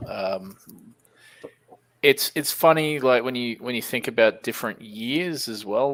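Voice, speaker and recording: Speaking in an Australian accent at a moderate pace with ordinary pitch variation, a man comes through on a very clean recording with a silent background. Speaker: comic shop owner and YouTuber. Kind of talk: casual chat.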